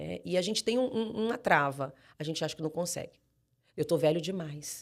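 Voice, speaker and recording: Someone speaks at a moderate pace with a strong Manaus accent. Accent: strong Manaus accent; drops final R. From Brazil, Manaus (Amazonas). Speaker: pastor. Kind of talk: podcast interview.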